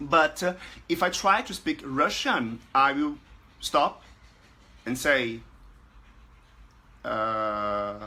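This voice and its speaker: A man's bright, sharp voice with a Portuguese accent, lively intonation, a very slow pace and long, frequent pauses. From Brazil. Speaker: language learning group administrator. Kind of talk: casual talk to camera. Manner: halting, many fillers.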